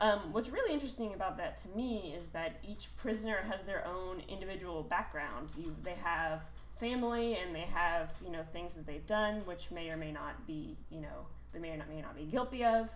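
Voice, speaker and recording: A woman speaks over noticeable background noise, her loudness swinging widely, with audible room echo. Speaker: game developer. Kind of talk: conference talk. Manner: hesitant, many fillers; fast.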